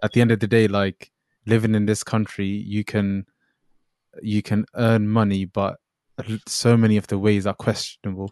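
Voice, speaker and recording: A man's fairly low, monotone voice with flat intonation at a moderate pace, with long, frequent pauses and a dry, close sound with no echo. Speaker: podcast host. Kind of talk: casual chat. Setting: video call.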